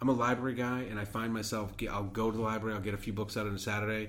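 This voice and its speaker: With audible room echo, a man with a fairly low voice talks at a very fast pace. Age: 40s. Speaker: podcast co-host. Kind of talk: casual chat.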